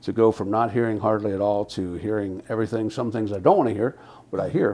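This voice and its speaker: A man's fairly low, dark and mellow voice at a very fast pace, with fairly even intonation. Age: 60s. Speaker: hearing aid client giving a testimonial. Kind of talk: testimonial interview. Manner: halting.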